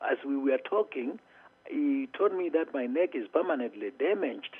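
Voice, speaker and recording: A man with a Kenyan accent at a moderate pace. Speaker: motivational speaker. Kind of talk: interview answer.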